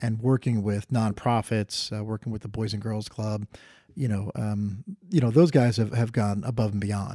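Recorded very cleanly against a silent background, the voice has a dark, mellow tone, a New Jersey accent, fairly even intonation and a moderate pace. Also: man. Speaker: former public official. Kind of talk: interview. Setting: on location. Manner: halting, many fillers.

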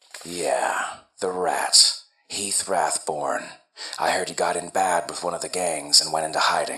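A man puts on a character voice, raspy and very deep in pitch. He keeps a moderate pace. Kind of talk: 1940s radio acting. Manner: wisecracking, flirtatious, streetwise.

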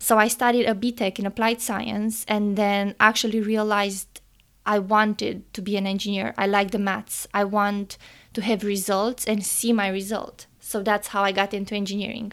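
A woman with a Romanian accent speaks at a medium pitch and a moderate pace. Her intonation is monotone and flat, in a very clean recording with a silent background. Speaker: engineering student and podcast co-host. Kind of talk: casual interview chat.

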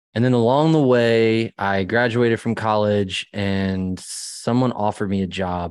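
With an American accent and an ordinary speaking voice, a man talks at a fairly slow pace with hardly any pauses and ordinary pitch variation over a quiet background. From US, Maryland (rural small town). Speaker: church musician. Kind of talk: interview storytelling.

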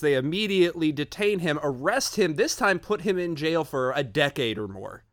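A man with lively intonation, fairly high pitch and a moderate pace. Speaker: guest, science podcast host. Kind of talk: casual podcast chat.

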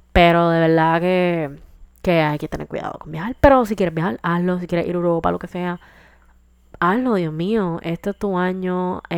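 A woman has an ordinary speaking voice, speaking at a fairly low pitch and moderate pace with ordinary pitch variation in a very clean recording with a silent background. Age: 20s. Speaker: podcast host. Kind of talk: casual monologue. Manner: casual, code-switching with English.

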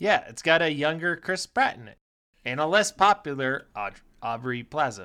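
The voice has a bright, sharp tone with vocal fry and very wide pitch swings. It moves at a moderate pace with big swings in loudness. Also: man, fairly high pitch for a man. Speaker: podcast co-host. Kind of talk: casual comedic banter.

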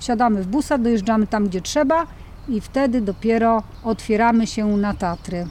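A woman with a normal speaking voice talks in a fairly high pitch at a moderate pace, with ordinary pitch variation. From Mazovia, Poland. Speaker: park volunteer coordinator. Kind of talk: casual interview. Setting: volunteer lodge in the mountains.

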